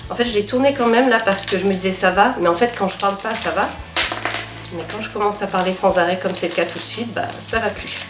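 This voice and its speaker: Amid audible room echo, a woman talks at medium pitch and a very fast pace. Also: ordinary pitch variation. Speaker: plant vlogger. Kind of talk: casual vlog talk. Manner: halting.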